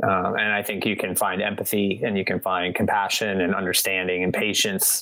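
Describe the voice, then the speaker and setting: Over noticeable background noise, a man with an American accent talks at a fairly quick pace in a fairly low, monotone, flat voice whose loudness stays very even. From US Midwest. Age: 40s. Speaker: musician. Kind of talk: casual chat. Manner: halting, many repetitions.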